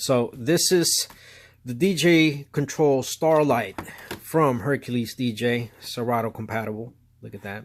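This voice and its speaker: In a normal speaking voice, a man of medium pitch talks at a fairly slow pace with ordinary pitch variation and big swings in loudness. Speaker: DJ and product reviewer. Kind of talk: product review. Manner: casual, filler-heavy.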